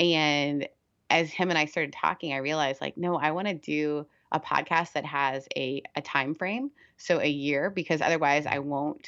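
Spoken in an American accent with ordinary pitch variation, the voice sits against a quiet background. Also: woman. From Canada. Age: 30s. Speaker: pastor and podcast host. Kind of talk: casual interview chat.

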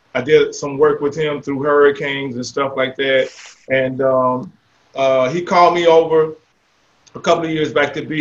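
At a moderate pace, a man with an unremarkable speaking voice, fairly high in pitch, keeps a fairly even intonation. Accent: American. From Jacksonville, Florida. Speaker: mayor and retired military veteran. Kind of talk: interview.

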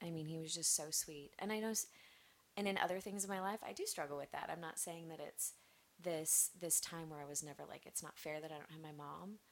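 This is an ordinary speaking voice, moving at a fairly quick pace with ordinary pitch variation. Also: woman, fairly low pitch for a woman. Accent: American. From US Midwest, Nebraska. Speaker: church member, mother. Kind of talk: casual interview chat. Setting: studio with headphones.

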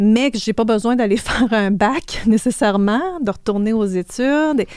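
Her pitch varies in an ordinary way. This woman's voice sits fairly high. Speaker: financial services entrepreneur. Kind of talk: interview. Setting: studio.

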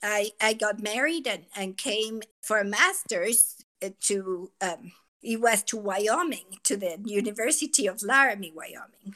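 At a fairly slow pace, a woman with a Mexican accent speaks in a fairly high pitch with ordinary pitch variation. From Mexico City. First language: Spanish. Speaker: school assistant principal. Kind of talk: casual chat.

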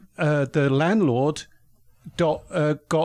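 In a very clean recording with a silent background, a man talks at a fairly high pitch with ordinary pitch variation. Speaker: former police detective, podcaster. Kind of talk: casual chat. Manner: halting, many fillers.

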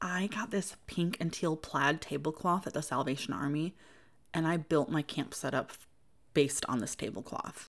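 A warm, upbeat voice with an American accent and ordinary pitch variation, on a very clean recording with a silent background. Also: woman, very deep, low pitch for a woman, moderate pace. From US Midwest. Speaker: podcast host, creative homemaker and small business owner. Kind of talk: solo podcast monologue, personal and reflective. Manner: warm, upbeat, earnest.

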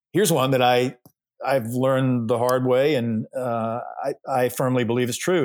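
On a very clean recording with a silent background, a man with an American accent has an ordinary speaking voice, medium in pitch, speaking at a moderate pace with fairly even intonation. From US South, Georgia. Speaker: pastor. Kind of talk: casual interview.

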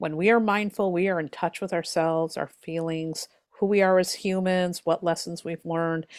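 A woman with an unremarkable speaking voice, fairly low in pitch, at a moderate pace with fairly even intonation, dry, close sound with no echo, very clean recording, silent background. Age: 50s. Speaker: tarot reader and author. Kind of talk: interview.

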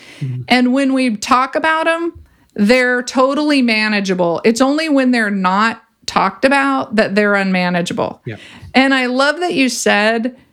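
A woman with an American accent speaks at a fairly slow pace in a fairly high pitch, her intonation lively and her speaking voice unremarkable. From California. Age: 50s. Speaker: clinical psychologist and coach. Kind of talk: interview conversation.

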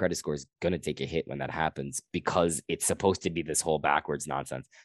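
Over a quiet background, a man with a very deep, low pitch and vocal fry speaks at a fairly quick pace. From Guyana. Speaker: comedian. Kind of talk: casual chat.

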